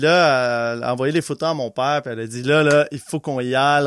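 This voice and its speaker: Recorded very cleanly with a silent background, a man talks at a fairly quick pace and fairly high pitch, with ordinary pitch variation and a dry, close sound with no echo. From Quebec (Laval, near Montreal). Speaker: podcast guest, musician and brewer. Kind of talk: casual chat.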